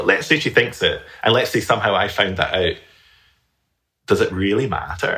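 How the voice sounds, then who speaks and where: A man with a Scottish accent at a fairly quick pace. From Scotland. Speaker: flutist and teacher. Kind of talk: casual interview conversation.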